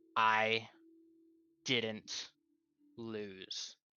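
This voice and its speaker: A man uses a put-on character voice at a medium pitch. It sounds shaky, with monotone, flat intonation. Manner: cold, defiant.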